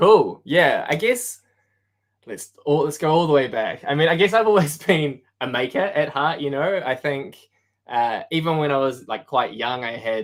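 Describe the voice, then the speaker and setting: A man with a New Zealand accent speaks at a fairly high pitch and a moderate pace. His intonation is lively, and the recording is very clean with a silent background. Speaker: product design manager. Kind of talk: casual interview chat.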